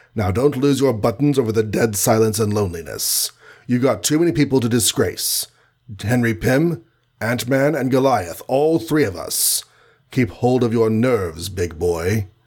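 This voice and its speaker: A man puts on a gruff character voice at medium pitch. He speaks at a moderate pace. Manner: self-encouraging, gruff.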